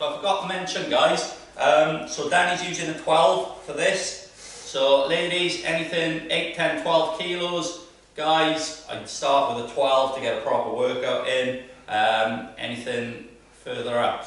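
Strong room echo fills the recording. A man talks at a fairly slow pace with ordinary pitch variation. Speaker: fitness coach. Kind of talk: workout instruction. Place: gym.

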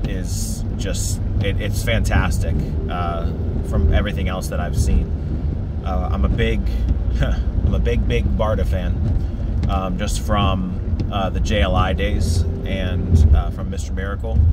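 A man speaks at a fairly slow pace. The sound is dry with no echo, with loud background noise. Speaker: comics vlogger. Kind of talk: casual vlog chat. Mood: relaxed, enthusiastic. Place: car. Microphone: phone near.

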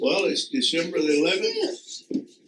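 Over noticeable background noise, a man with a high pitch talks at a very slow pace, his voice making very wide pitch swings. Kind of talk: family interview questions. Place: home room. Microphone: phone near.

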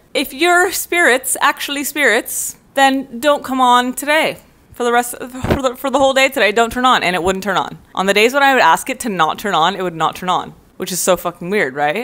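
A woman talks at a fairly quick pace in a high pitch with very wide pitch swings. Her tone is bright and sharp. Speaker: vlogger. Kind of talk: casual vlog chat. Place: home room. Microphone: earbuds.

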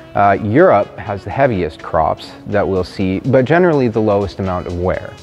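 Faint music plays in the background as a man with a fairly low pitch speaks at a moderate pace. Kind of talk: interview answer. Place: garage. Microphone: lapel.

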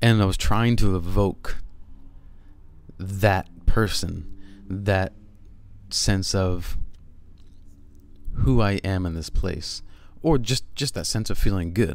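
A man speaks at a slow pace with low pitch, ordinary pitch variation and vocal fry. He leaves long, frequent pauses.

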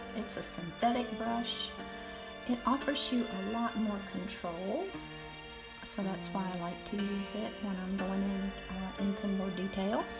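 Over clear background music, a woman speaks at a fairly slow pace with ordinary pitch variation. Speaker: watercolor teacher. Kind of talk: tutorial.

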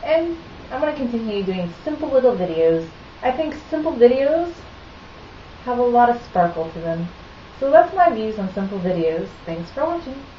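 Very wide pitch swings at a moderate pace, with long, frequent pauses, light background noise and audible room echo. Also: woman, high pitch for a woman. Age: 30s. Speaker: video blogger. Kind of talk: casual monologue. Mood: earnest, mildly opinionated. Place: kitchen. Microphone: webcam.

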